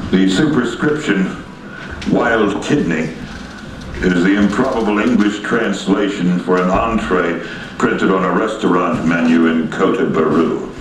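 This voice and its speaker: Noticeable background noise surrounds a man speaking fairly slowly. His voice is fairly low, with ordinary pitch variation. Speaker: poet. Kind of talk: poetry reading.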